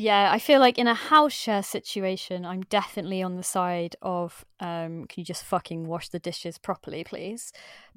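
A woman with an English Midlands accent speaks at a moderate pace and medium pitch, with ordinary pitch variation, hardly any pauses and big swings in loudness, in a dry, close, echo-free and very clean recording over a silent background. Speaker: podcast co-host. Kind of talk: casual chat.

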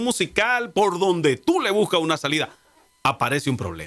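A man speaks at a fairly slow pace in a bright, sharp tone, with very wide pitch swings. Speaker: talk show host. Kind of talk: casual chat.

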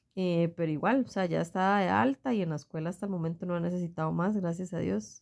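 With lively intonation, a woman talks at a very fast pace with hardly any pauses. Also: fairly low pitch for a woman. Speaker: podcast co-host, mother. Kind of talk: casual chat.

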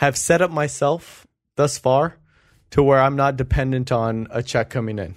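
A man talks at a moderate pace with ordinary pitch variation and an ordinary speaking voice. The recording is very clean, with a silent background. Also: medium pitch for a man. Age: 20s. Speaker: entrepreneur and podcast co-host. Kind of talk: casual chat.

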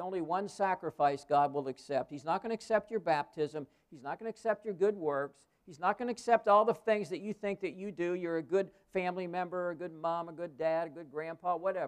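Talking at a fairly quick pace with hardly any pauses, a man uses a high pitch and big swings in loudness. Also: ordinary pitch variation, dry, close sound with no echo. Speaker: guest pastor. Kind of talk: sermon. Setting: church.

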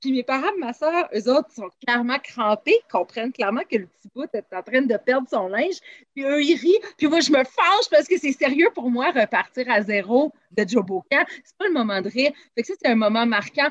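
A high-pitched woman at a moderate pace, with big swings in loudness and a dry, close sound with no echo. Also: lively intonation. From Quebec, Lower Laurentians (Saint-Eustache). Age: 30s. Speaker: improv actor and comedian. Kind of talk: casual interview.

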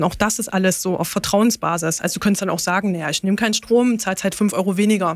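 A woman talks at a very fast pace, her medium-pitched voice carrying fairly even intonation. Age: 30s. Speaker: parent on parental leave, car dealership employee. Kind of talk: interview about travel experience.

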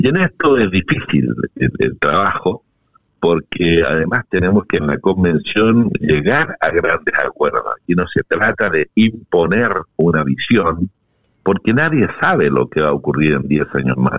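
A man with a very deep, low pitch and vocal fry speaks fairly slowly. His pitch swings very widely while his loudness stays very even. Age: old. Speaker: constitutional convention delegate. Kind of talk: interview.

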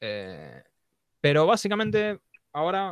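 A man with a Rioplatense accent, on a very clean recording with a silent background, the sound dry and close with no echo. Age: 20s. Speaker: podcast co-host. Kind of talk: casual chat.

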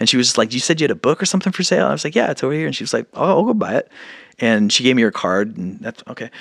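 Very fast and full of very wide pitch swings, a man's medium-pitched voice with vocal fry comes through dry and close with no echo, on a very clean recording with a silent background. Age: 40s. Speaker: independent musician and actor. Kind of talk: casual interview chat.

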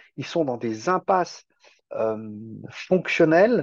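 Lively intonation marks this man's speech. The sound is dry and close with no echo, over a quiet background. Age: 50s. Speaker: self-sufficiency farmer. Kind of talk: podcast interview. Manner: hesitant, repeats words.

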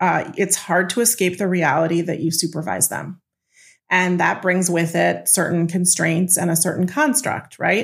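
A woman talks at a fairly slow pace in a fairly low voice, an unremarkable speaking voice. The recording is very clean, with a silent background. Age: 40s. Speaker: executive coach. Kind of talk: interview.

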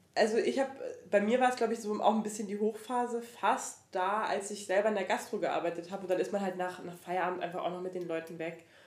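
Speaking very fast at a medium pitch, a woman is heard with audible room echo around her. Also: ordinary pitch variation. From Franconia, Germany. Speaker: podcaster. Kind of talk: casual chat.

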